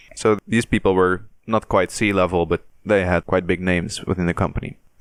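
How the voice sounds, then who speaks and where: In a dry, close sound with no echo, a man with a non-native accent speaks fairly quickly in a very deep, low pitch. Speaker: podcast host. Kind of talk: casual chat. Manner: halting.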